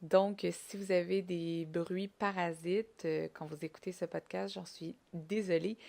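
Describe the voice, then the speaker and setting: In a very clean recording with a silent background, a woman speaks at a fairly low pitch. Her pace is fairly slow and her intonation fairly even. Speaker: podcast host. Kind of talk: solo podcast monologue.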